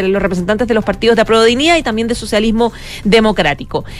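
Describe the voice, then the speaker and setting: A woman with a fairly high pitch speaks as noticeable background noise carries on. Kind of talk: news reading.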